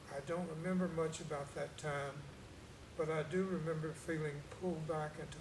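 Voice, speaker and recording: Quiet and fairly high-pitched, a man speaks at a moderate pace in a flat monotone. Audible room echo and noticeable background noise surround him. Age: 60s. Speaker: cancer survivor. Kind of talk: testimony. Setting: church.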